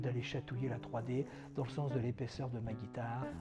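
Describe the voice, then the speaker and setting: Music plays in the background while a man talks with fairly even intonation. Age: 60s. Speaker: luthier. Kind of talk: interview monologue. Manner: hesitant, many fillers.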